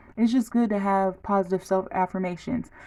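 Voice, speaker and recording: A woman's medium-pitched voice, dark and mellow in tone, with fairly even intonation. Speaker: vlogger. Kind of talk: casual chat. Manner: fast; halting.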